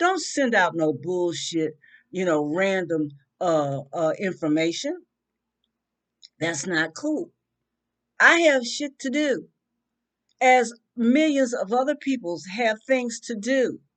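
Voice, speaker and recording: A loud woman's voice at a fairly high pitch with very wide pitch swings, at a very slow pace with long, frequent pauses. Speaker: vlogger. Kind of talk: rant. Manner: animated.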